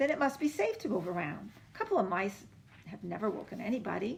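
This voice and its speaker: A woman rattles off lines at a very fast pace in a put-on character voice with a fairly high pitch. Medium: read story. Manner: emotional, fussy.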